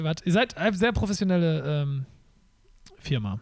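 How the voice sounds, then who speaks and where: Lively intonation marks this man's voice, which sits at a fairly high pitch. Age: 30s. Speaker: podcast host and performer. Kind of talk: casual chat.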